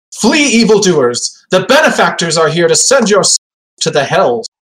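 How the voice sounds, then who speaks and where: A man shouting in a put-on character voice, pitched high. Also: moderate pace. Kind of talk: theatrical heroic battle cry. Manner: bold, heroic shouting.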